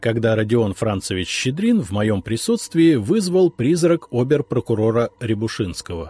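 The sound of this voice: Lively intonation in an unforced reading voice.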